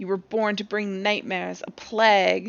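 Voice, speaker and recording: A woman puts on a character voice. Her pitch sits in the medium range, and her pace is moderate. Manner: menacing.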